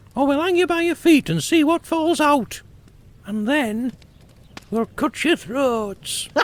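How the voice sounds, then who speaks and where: A man uses a squeaky put-on character voice at an extremely high pitch, speaking at a fairly slow pace with long, frequent pauses. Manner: threatening, serious.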